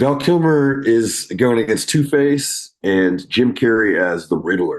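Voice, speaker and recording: A normal speaking voice comes from a man at a medium pitch and a fairly slow pace. His intonation is lively and his loudness very even. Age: 40s. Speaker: rock band vocalist. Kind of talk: casual chat.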